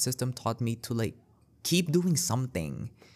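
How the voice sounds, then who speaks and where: A man's animated tone at a moderate pace, ordinary pitch variation, very clean recording with a silent background. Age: 19. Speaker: podcaster and poet. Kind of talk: casual solo podcast monologue. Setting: library breakout room. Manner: animated, frequent laughs and fillers.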